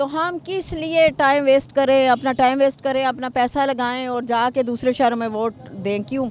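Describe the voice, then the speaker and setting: Noticeable background noise surrounds a woman's high-pitched voice, which has ordinary pitch variation and hardly any pauses. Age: 50s. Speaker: member of the public. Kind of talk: street interview.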